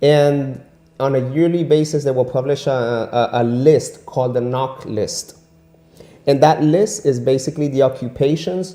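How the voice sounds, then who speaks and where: Music plays in the background as a man talks at a moderate pace. His pitch is fairly high. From Venezuela. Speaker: immigrant and English teacher. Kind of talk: interview. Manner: animated; repetitive stammering.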